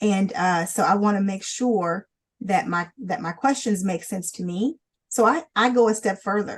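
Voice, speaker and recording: A woman's voice comes through somewhat breathy. The background is quiet. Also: medium pitch for a woman, ordinary pitch variation, moderate pace. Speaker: lawyer presenting a legal training webinar. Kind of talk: legal training webinar. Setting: online webinar. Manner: repetitive, halting.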